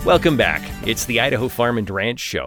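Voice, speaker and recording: A man speaks at a medium pitch with vocal fry and a warm tone, recorded very cleanly against a silent background. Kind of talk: radio show host intro, upbeat promotional lead-in. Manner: smooth, polished, warm and brisk broadcaster delivery.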